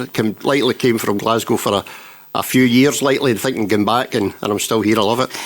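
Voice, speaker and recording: A man talks with a west of Scotland accent at a fairly quick pace. His intonation stays fairly even. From Scotland, Renfrewshire (Elderslie). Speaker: council chief executive. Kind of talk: interview.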